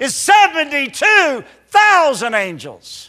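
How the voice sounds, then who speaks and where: A man projects a raised, bright, sharp voice with very wide pitch swings. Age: 60s. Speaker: pastor. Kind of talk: sermon. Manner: halting.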